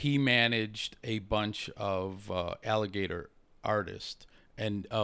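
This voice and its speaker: A man with an American accent, fairly low in pitch, with fairly even intonation. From Chicago. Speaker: sports TV audio mixer. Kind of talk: casual chat.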